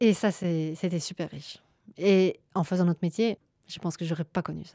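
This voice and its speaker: At a moderate pace, a woman speaks in a fairly low pitch with a dark, mellow tone, the sound dry and close with no echo. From southwest France (Charente-Maritime, Gers). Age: 30s. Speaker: sex worker. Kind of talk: personal testimony interview. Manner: halting, many fillers.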